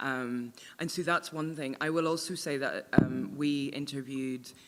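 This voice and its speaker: A woman in a Northern Irish accent speaks at a moderate pace with a very deep, low pitch and fairly even intonation. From Northern Ireland. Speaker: author. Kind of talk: panel Q&A discussion. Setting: book launch event with audience.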